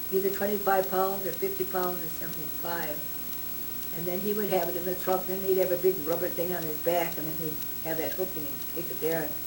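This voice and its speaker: Over noticeable background noise, a woman talks at a fairly quick pace in a monotone, flat delivery. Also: fairly low pitch for a woman. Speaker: grandmother telling her life story. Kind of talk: interview answer.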